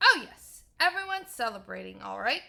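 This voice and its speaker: A woman does a put-on character voice at a fairly quick pace. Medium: read story. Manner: stern, impatient.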